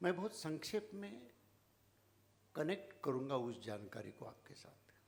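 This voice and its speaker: Pitched fairly high, a man's voice makes very wide pitch swings and big swings in loudness. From Maharashtra, India (rural village). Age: 70s. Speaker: founder of social service organisation. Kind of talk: speech to audience. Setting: stage with audience.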